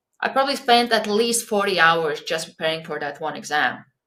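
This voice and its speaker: A woman talks at a moderate pace. Her tone is bright and sharp, with lively intonation. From Latvia. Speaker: podcaster and coach. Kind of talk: podcast interview.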